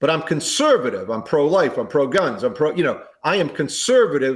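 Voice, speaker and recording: A man speaks at a moderate pace in a normal speaking voice. His pitch is fairly high. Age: 60s. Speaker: presidential candidate. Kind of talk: interview.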